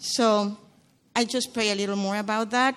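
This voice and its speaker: A woman with a Spanish accent at a moderate pace, ordinary pitch variation, and a quiet background. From Guatemala. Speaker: churchgoer sharing testimony. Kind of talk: testimony. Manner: halting.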